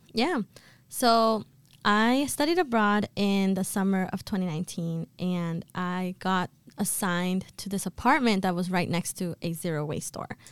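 A woman with an American accent has an unremarkable speaking voice and ordinary pitch variation. The sound is dry and close with no echo, in a very clean recording with a silent background. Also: medium pitch for a woman, fairly slow pace. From Boston. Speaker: entrepreneur, store founder. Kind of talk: podcast interview. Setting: studio.

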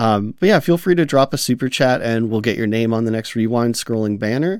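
Fairly quick male speech at medium pitch with lively intonation. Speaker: podcast host. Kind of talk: casual chat. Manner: conversational, hesitant with fillers.

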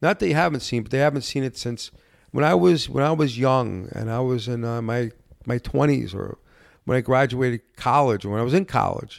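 A man with a plain, everyday voice, ordinary pitch variation and a fairly quick pace, on a very clean recording with a silent background. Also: medium pitch for a man. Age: 50s. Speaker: bar and cigar lounge owner. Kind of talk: casual chat. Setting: cigar lounge.

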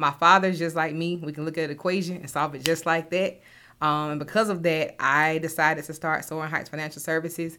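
Recorded very cleanly against a silent background, a speaker with an American accent talks at a fairly quick pace in a monotone, flat intonation. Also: woman, very deep, low pitch for a woman. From US South, Augusta, Georgia. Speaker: financial services founder. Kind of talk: casual interview chat.

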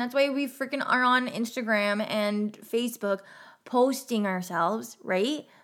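In a very clean recording with a silent background, a woman speaks with an American accent at a fairly high pitch. Her pace is fairly slow, and her pitch varies in an ordinary way. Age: 30s. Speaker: podcast host. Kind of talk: casual solo monologue. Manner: chatty, talkative.

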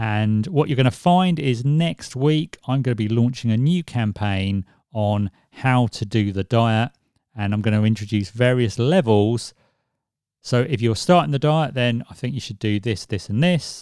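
On a very clean recording with a silent background and a dry, close sound with no echo, a man with a plain, everyday voice speaks at medium pitch and a moderate pace, his intonation lively. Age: 40s. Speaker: podcast host. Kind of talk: solo podcast monologue. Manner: conversational.

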